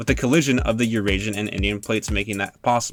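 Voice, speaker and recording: Fairly quick speech from a man, with music in the background. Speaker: student. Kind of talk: mock podcast educational narration. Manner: occasional stutter.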